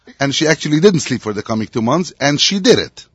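This man's voice has a somewhat breathy quality. His intonation is lively. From Montreal, Quebec. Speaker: herring producer. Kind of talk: casual chat.

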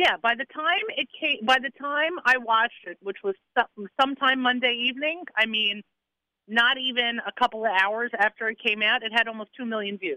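Her voice is an unremarkable speaking voice, as this woman talks at a moderate pace with fairly high pitch and ordinary pitch variation. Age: 40s. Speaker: radio host. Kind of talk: casual chat.

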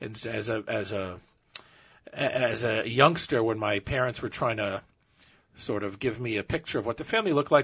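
An ordinary speaking voice with ordinary pitch variation, at a moderate pace. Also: man. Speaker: relative of the story subject. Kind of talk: storytelling interview.

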